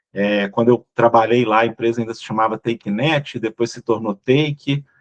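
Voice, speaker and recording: In a dry, close recording with no echo, a man at medium pitch keeps his intonation fairly even. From Brazil, Minas Gerais. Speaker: business executive. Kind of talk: casual interview chat.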